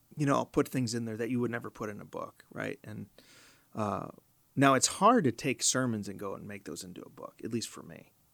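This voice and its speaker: A man's medium-pitched voice with an American accent, fairly quick pace, vocal fry, ordinary pitch variation and big swings in loudness, on a very clean recording with a silent background. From US Midwest, Chicago. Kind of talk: podcast interview. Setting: studio.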